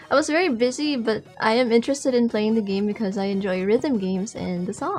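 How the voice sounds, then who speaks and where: A woman with a Filipino accent talks at a fairly quick pace in a fairly high pitch. Her intonation is lively over noticeable background noise. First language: Tagalog. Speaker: music producer. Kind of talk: interview.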